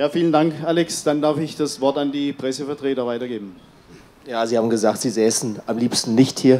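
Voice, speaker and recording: A man speaks at a fairly quick pace in a dark, mellow tone. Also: ordinary pitch variation. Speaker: press conference moderator. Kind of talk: press conference. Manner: halting. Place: hall. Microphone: handheld.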